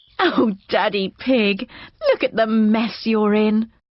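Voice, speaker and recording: In a cartoonish character voice, a female-sounding speaker talks at a fairly slow pace with a fairly high pitch. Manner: calm, gentle, proper.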